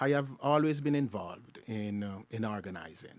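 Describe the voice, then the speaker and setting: The speaker has a Jamaican accent and a fairly slow pace. The intonation stays fairly even. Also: man. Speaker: community organizer. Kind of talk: self-introduction.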